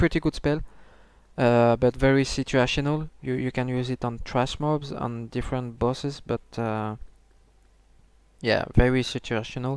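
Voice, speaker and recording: With a non-native accent and long, frequent pauses, a man speaks at a medium pitch and a moderate pace in a monotone, flat delivery. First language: not English. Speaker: gaming video creator. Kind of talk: tutorial. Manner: halting, many fillers and restarts.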